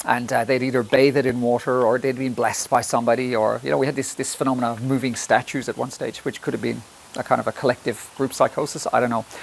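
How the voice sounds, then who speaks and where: Over noticeable background noise, a man with an Irish accent talks at a very fast pace. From Ireland. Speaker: health presenter. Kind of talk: presentation. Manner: halting.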